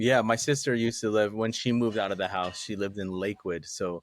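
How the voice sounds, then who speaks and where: A man with an American accent talks at a fairly quick pace. His pitch is fairly low and his intonation fairly even. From Tacoma area, Washington, US Pacific Northwest. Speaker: podcast guest. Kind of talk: casual chat.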